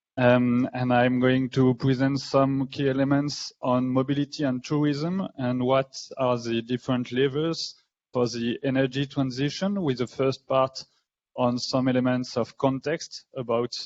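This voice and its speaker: This man talks at a fairly slow pace with a medium pitch. His intonation stays fairly even. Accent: French. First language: French. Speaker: researcher. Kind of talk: lecture.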